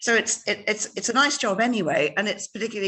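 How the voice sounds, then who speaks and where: Speaking very fast with an Irish accent, a woman uses ordinary pitch variation. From Ireland. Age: 60s. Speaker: novelist. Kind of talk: interview. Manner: halting, many repetitions.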